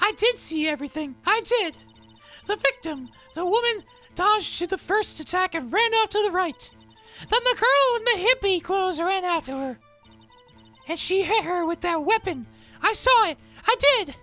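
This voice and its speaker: A man puts on a squeaky falsetto character voice at an extremely high pitch, speaking at a moderate pace with long, frequent pauses over faint background music. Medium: game stream. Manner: coy, flirtatious.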